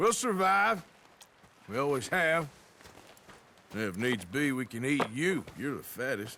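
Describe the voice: Putting on a character voice, a man uses a bright, sharp tone, big pitch swings and a fairly slow pace. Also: medium pitch for a man.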